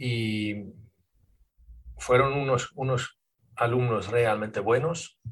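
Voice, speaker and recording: This man's voice is somewhat breathy. Its pitch rises and falls in an ordinary way. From Sweden. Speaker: podcast host and dog trainer. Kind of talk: interview conversation.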